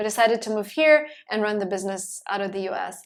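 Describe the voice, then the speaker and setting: The speaker has a Russian accent. Delivery comes at a moderate pace with fairly even intonation. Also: woman. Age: 20s. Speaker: entrepreneur and YouTuber. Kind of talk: podcast interview.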